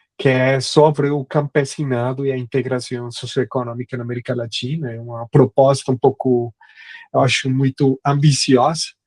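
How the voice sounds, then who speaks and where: In a Spanish accent, a man speaks at a moderate pace and medium pitch with monotone, flat intonation, the sound dry and close with no echo. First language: Spanish (speaking Portuguese). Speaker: history professor. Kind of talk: academic lecture. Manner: halting, many fillers.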